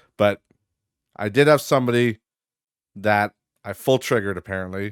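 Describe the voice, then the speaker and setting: This man has a fairly low pitch and talks at a fairly quick pace, with a dry, close sound free of echo in a very clean recording over a silent background. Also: long, frequent pauses, big swings in loudness. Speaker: podcast host. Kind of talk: casual solo podcast rant.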